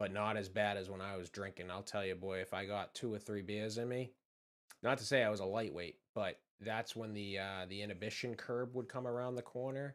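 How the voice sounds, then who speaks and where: Relaxed tone with a Boston accent, fairly even intonation, and a fairly quick pace. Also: man, fairly low pitch for a man. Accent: Boston accent, moderate, drops R's. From Massachusetts, just south of Boston. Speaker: streamer, horror channel creator. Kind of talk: casual live-stream chat. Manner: relaxed, laid-back.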